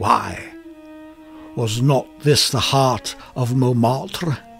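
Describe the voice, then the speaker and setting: With music playing in the background, a man speaks at a very slow pace. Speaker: voice actor. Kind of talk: short story reading. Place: studio.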